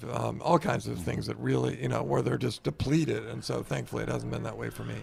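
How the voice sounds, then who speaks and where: A man talks very fast as noticeable background noise carries on. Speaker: author and former newspaper reporter. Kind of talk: interview.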